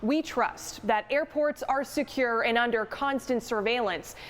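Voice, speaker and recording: With noticeable background noise, a woman talks at a high pitch with ordinary pitch variation. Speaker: television investigative reporter. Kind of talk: TV news reporter, live field report and packaged story. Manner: clear, informative consumer-warning tone.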